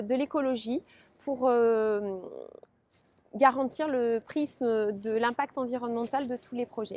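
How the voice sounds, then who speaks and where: With fairly even intonation, a woman talks fairly slowly in a high-pitched voice. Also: dry, close sound with no echo. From French Basque Country (Guéthary and Biarritz). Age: 40s. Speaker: local election candidate. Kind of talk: interview. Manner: hesitant, many filler sounds.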